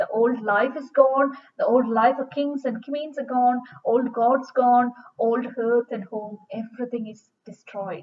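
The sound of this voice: A woman's fairly high voice at a fairly slow pace, the intonation fairly even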